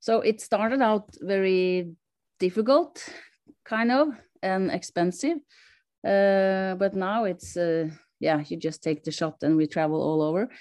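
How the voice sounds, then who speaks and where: With a Norwegian accent, a woman talks at a fairly slow pace and medium pitch, her lively intonation broken by long, frequent pauses against a quiet background. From Norway. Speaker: sled dog racer, world champion. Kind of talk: interview.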